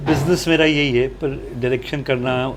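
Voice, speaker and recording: Noticeable background noise behind a man speaking at a medium pitch. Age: 70s. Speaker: film producer and director. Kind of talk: interview.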